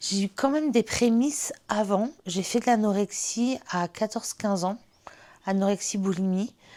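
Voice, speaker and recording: A woman's medium-pitched voice, dark and mellow, fairly slow, on a very clean recording with a silent background. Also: ordinary pitch variation. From France, La Rochelle. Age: 30s. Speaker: interviewee sharing lived experience of bipolar disorder. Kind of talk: testimony. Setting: on-camera interview. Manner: hesitant, many fillers.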